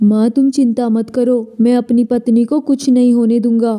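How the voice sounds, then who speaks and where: At a moderate pace, a female-sounding voice in a cartoonish character voice holds a high pitch with flat, monotone intonation. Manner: earnest, pleading.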